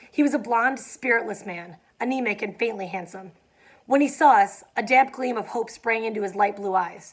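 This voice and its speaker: Over a silent background in a very clean recording, a raspy, put-on character voice speaks at a moderate pace. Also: woman, fairly high pitch for a woman. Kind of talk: casual student read-aloud with commentary. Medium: read story. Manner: casual, conversational asides.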